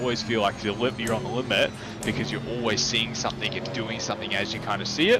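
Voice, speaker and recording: Speaking with an Australian accent, a man is heard with audible room echo and music in the background. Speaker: sim racing driving coach. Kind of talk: one-on-one coaching session. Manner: casual, filler-heavy.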